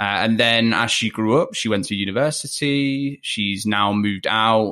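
With a Leicester accent, a man speaks at a moderate pace in a bright, sharp tone. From Leicester, England. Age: 20s. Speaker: podcast guest, fellow podcaster. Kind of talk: casual interview chat. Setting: remote recording from home. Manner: hesitant, many fillers.

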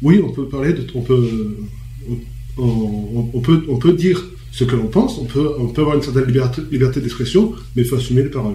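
Noticeable background noise sits under a man speaking at a medium pitch and a fairly quick pace with ordinary pitch variation. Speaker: panelist. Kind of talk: radio discussion. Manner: halting.

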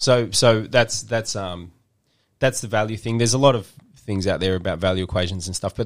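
In a very clean recording with a silent background, a man with a plain, everyday voice speaks fairly quickly at a fairly low pitch with ordinary pitch variation. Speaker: podcast host, marketing agency. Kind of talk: casual podcast chat, explanatory. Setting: podcast studio, video multicam. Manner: rambling, filler-heavy, jokey; mock infomercial pitchman, teasing sales patter.

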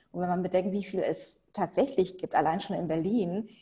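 In a somewhat breathy voice with a dark, mellow tone, a woman speaks at a medium pitch with fairly even intonation. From Germany, Hannover. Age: 40s. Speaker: lawyer. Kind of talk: interview.

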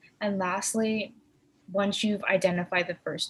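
A woman speaks with a somewhat breathy voice. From Korean heritage. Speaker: podcast co-host. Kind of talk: casual chat.

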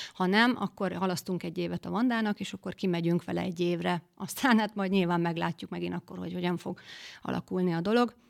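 On a very clean recording with a silent background, a woman speaks at a very fast pace in a dry, close sound with no echo. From Western Hungary, near Győr. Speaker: guest, footballer's wife. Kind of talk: casual interview. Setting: studio.

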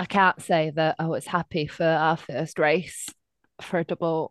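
Against a quiet background, a woman with a Lancashire accent speaks at a fairly slow pace and fairly low pitch, her intonation fairly even and the sound dry and close with no echo. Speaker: podcast co-host. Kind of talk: casual chat.

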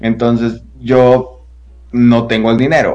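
A man's voice sits at a medium pitch and carries vocal fry. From Guadalajara, Jalisco, Mexico. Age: 20s. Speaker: TikToker and voice actor. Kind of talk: casual interview chat. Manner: animated.

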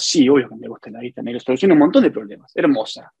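The recording has a dry, close sound with no echo. A man is the one talking. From Argentina, Santa Fe province (small town). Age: 40s. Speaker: furniture business owner. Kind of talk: interview. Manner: halting, with frequent repetitions.

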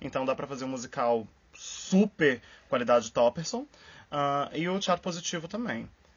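At a moderate pace, a man speaks with a fairly high, somewhat breathy voice and lively intonation. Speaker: podcast co-host, scientist and musical theatre enthusiast. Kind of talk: casual chat.

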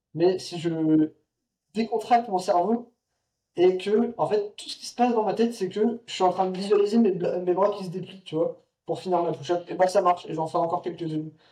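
Fairly even in intonation but with big swings in loudness, a man speaks at a high pitch in a dark, mellow tone. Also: moderate pace. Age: 20s. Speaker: street workout athlete and mountain adventurer. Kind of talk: casual chat.

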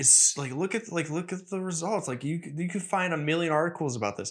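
A man's energetic, high-pitched voice with lively intonation, on a very clean recording with a silent background. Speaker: podcast host. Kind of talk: casual solo podcast monologue. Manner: fast talker, mumbles; energetic on topics.

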